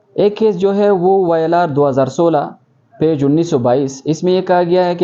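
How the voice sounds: The man talks at a fairly quick pace. His tone is dark and mellow.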